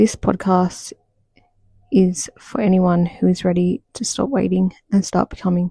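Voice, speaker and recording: Whispering in a soft-spoken, somewhat breathy way, a woman is heard in a dry, close sound with no echo. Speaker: podcast host, social worker. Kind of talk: mindset podcast monologue. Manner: almost whispering, soft-spoken.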